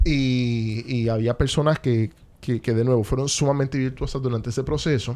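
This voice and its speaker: The voice has a dark, mellow tone, moving at a moderate pace with fairly even intonation. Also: man, medium pitch for a man. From Puerto Rico (Caguas). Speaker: economist and lawyer. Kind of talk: interview conversation.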